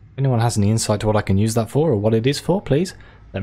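The speaker simply reads aloud. Pitch moves up and down in an ordinary way.

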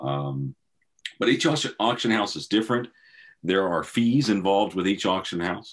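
Lively intonation and a moderate pace come through with a Southern US accent. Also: man, fairly low pitch for a man. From US South. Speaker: classic car auction specialist; auction house car specialist. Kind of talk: interview. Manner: hesitant, many fillers. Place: office. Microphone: video call.

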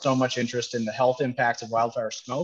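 The speech comes at a fairly quick pace over a quiet background. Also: man. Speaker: event host. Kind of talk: webinar host welcome remarks. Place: cafe. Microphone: headset.

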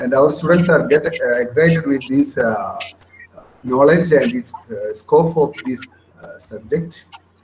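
Over light background noise, a man with a fairly high pitch talks at a fairly slow pace with lively intonation and long, frequent pauses. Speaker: webinar organizer host. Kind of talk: formal webinar hosting. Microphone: video call.

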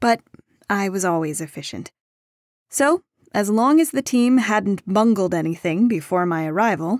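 On a very clean recording with a silent background, a woman speaks at a medium pitch and moderate pace. Her intonation is lively, and the sound is dry and close with no echo. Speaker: audiobook narrator. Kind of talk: audiobook narration.

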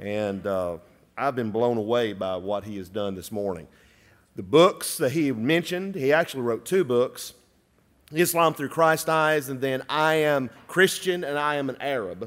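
Pitch swings very widely here. The voice carries a Southern US accent. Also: man, moderate pace. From US South. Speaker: chapel emcee. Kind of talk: announcements and introduction; announcements after a lecture. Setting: church chapel with audience. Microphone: podium.

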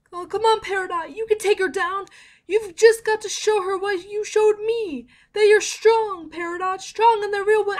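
At a moderate pace, a female-sounding voice performs a put-on character voice at an extremely high pitch. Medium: dub.

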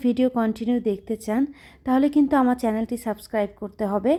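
On a very clean recording with a silent background, a woman speaks in a high pitch with fairly even intonation. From Bangladesh, Khulna. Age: 30s. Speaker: lifestyle vlogger. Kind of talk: home vlog narration.

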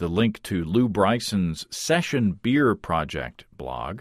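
On a very clean recording with a silent background, a man speaks with vocal fry and lively intonation. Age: 40s. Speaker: podcast host. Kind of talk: interview.

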